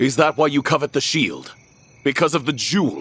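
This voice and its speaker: At a moderate pace, a man does a put-on character voice at a fairly high pitch, keeping his loudness very even. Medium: video game. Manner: calm, measured, firm.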